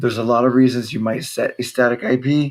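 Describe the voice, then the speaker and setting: This is a man with a medium-pitched voice. His intonation is fairly even. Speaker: tech support youtuber. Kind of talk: tutorial. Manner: casual. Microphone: laptop microphone.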